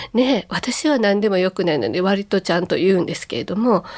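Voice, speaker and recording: Talking at a fairly quick pace, a woman uses an unremarkable speaking voice at a medium pitch. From Kobe, Japan. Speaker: public speaker and ocarina player. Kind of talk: radio lecture.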